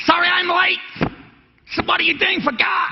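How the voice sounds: A put-on character voice in a New York accent at a moderate pace.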